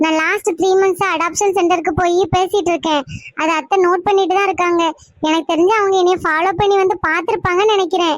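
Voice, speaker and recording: Putting on a cartoonish character voice, a woman speaks at an extremely high pitch and moderate pace, with fairly even intonation and very even loudness. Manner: emotional, sorrowful.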